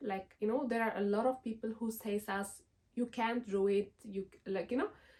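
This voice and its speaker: Someone with an Ethiopian accent speaks at a moderate pace with fairly even intonation. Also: woman. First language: Amharic. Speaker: lifestyle vlogger. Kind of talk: casual vlog talk to camera. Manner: hesitant, many fillers.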